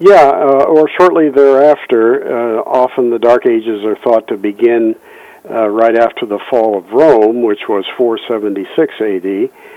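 Very slow speech from a man at medium pitch with ordinary pitch variation, amid noticeable background noise. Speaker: economic education foundation leader. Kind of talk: interview on history and economics.

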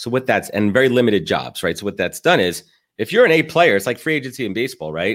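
A medium-pitched man with an American accent, very fast and full of vocal fry, with very wide pitch swings on a very clean recording with a silent background. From New York, Brooklyn. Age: 30s. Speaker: podcast host and recruiting firm founder. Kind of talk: casual interview chat.

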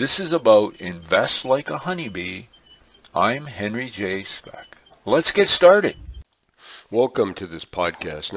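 Using a put-on character voice, a man speaks hoarsely at a medium pitch. His pitch swings very widely at a fairly slow pace.

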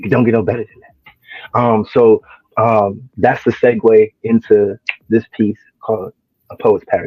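A man speaks with a New Jersey accent in a flat, monotone way. His loudness swings widely. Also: medium pitch for a man, fairly slow pace. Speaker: spoken word poet. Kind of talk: casual chat.

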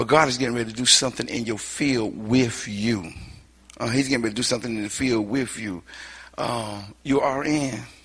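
The man's pitch shifts in an ordinary way, and audible echo from the room surrounds his voice. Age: old. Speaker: guest preacher. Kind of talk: sermon.

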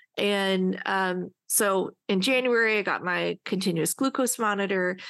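Woman at medium pitch, an ordinary speaking voice with ordinary pitch variation, over a quiet background. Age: 30s. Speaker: podcast co-host, adoptee. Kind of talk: casual chat.

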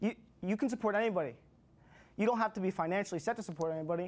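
The man's pitch is high, with ordinary variation. He speaks at a very fast pace. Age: 20s. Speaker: public speaking course graduate. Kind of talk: speech. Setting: room with audience.

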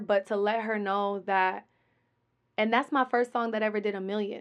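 A woman's fairly high, fairly evenly intoned voice at a moderate pace, an unremarkable speaking voice. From Colorado, Denver. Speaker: rapper and businesswoman. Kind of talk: interview.

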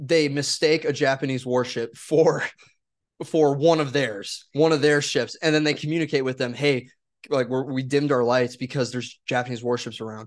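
With an American accent, a man talks at a moderate pace and a medium pitch. He has a plain, everyday voice with fairly even intonation. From Wisconsin. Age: 20s. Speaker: podcast host. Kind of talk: casual chat.

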